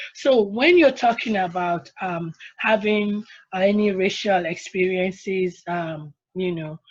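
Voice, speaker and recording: Speaking with an African accent, a woman moves at a fairly slow pace with ordinary pitch variation. Her loudness swings widely. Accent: African accent, retained. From Nigeria. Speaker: attorney, panelist. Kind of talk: panel discussion.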